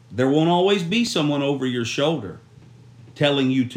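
A man speaks at a medium pitch with lively intonation. Audible room echo surrounds his voice. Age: 30s. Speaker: youth pastor. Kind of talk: devotional talk. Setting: at a church camp.

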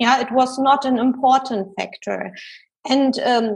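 A woman's high voice in a German accent, at a very slow pace with flat, monotone intonation. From Germany. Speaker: executive coach and researcher. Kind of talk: interview.

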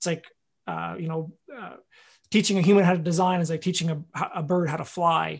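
On a very clean recording with a silent background, a man with a Canadian accent speaks in a high pitch with fairly even intonation, a fairly quick pace, and long, frequent pauses. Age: 20s. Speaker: farmer. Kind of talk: interview. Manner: halting.

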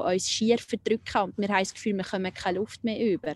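Her voice sits at a medium pitch. It carries a dark, mellow tone. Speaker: nurse and spiritual healer. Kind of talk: personal testimony interview. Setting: outdoors by a lake. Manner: halting.

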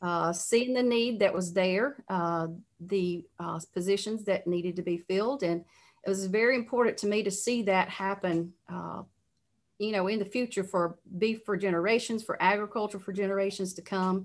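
In an Alabama accent, a woman talks at a moderate pace with medium pitch and fairly even intonation. The recording is very clean, with a silent background. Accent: Southern US (Alabama). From Alabama, US South. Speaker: cattle industry association president. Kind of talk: interview. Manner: halting, many fillers.

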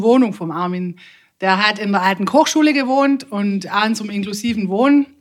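A woman speaks at a moderate pace in a fairly high voice with ordinary pitch variation. She has an ordinary speaking voice. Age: 40s. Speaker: music club manager and clarinetist. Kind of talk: casual interview chat.

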